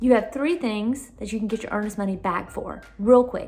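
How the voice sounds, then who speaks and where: A woman with a Southern US accent at a very fast pace, with noticeable background noise. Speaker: realtor. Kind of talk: casual advice vlog. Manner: animated.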